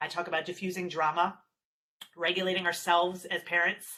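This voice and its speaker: Her tone is bright and sharp, with a fairly low pitch for a woman. She speaks at a fairly quick pace. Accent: New Jersey. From New Jersey. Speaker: parenting specialist. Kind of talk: webinar presentation. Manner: fast.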